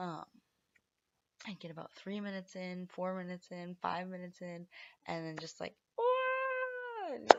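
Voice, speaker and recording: A woman talks at a fairly slow pace with long, frequent pauses. Her loudness swings widely. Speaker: vlogger, parent with Tourette syndrome. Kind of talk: casual vlog monologue. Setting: home, at night. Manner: vocal tics, interjections.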